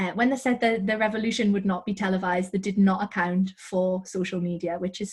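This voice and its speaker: Talking very fast, a woman keeps a medium pitch and a monotone, flat intonation. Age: 20s. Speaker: author. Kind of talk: interview. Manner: hesitant with fillers.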